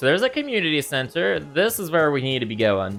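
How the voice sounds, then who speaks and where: A man speaks with music in the background. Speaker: gaming streamer. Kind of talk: let's play commentary. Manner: casual, thinking aloud.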